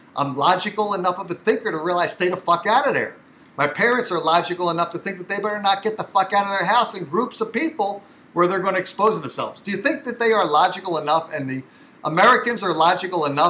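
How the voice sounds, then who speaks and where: A man talks in a raised, projected voice, high in pitch and at a very fast pace. His tone is animated, with ordinary pitch variation. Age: 60s. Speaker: political commentator vlogger. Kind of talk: opinion rant.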